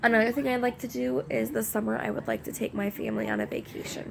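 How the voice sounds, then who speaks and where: Noticeable background noise runs under this recording. A woman talks at a very fast pace. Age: 20s. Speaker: vlogger, young mother. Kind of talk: casual chat to camera. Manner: hesitant, many fillers.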